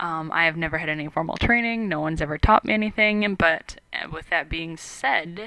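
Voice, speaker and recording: Noticeable background noise sits under a woman's fairly low, fairly even voice as she talks fairly quickly. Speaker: college student video blogger. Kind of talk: vlog introduction. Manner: monotone; dry, sarcastic delivery.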